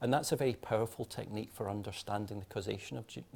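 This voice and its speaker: Talking at a very fast pace, a man uses a fairly low pitch with vocal fry and ordinary pitch variation. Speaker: clinical geneticist. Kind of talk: panel discussion. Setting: webinar. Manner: hesitant, many fillers and repeats.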